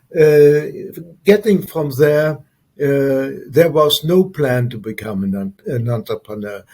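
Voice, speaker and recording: A man's dark, mellow voice comes through somewhat breathy. He talks very slowly, with lively intonation. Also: fairly high pitch for a man. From Luxembourg. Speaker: entrepreneur and former military officer. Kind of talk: interview. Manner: halting, many fillers.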